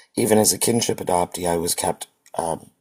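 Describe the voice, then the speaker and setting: Vocal fry marks the very deep, low voice of a man who speaks at a fairly slow pace. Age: 60s. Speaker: adoptee and genealogist. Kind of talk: testimony. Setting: live stream.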